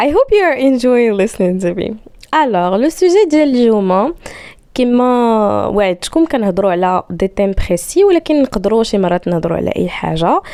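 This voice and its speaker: A woman's fairly high, dark and mellow voice with very wide pitch swings at a moderate pace. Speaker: podcast host. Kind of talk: casual monologue.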